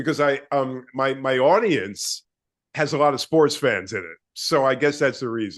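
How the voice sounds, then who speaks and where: A man talks at a moderate pace, and the background is quiet. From New York. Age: 60s. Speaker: radio host and fitness personality. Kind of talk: casual interview chat. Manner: talkative.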